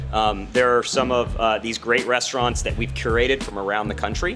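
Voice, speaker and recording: A man talks at a fairly quick pace while clear music sounds in the background. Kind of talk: interview answer. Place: hall. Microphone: handheld.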